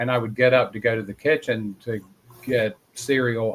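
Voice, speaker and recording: In a Southern US accent, a man talks at a medium pitch with fairly even intonation. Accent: Southern US, moderate. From North Carolina. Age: 60s. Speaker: paranormal investigator. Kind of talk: interview storytelling.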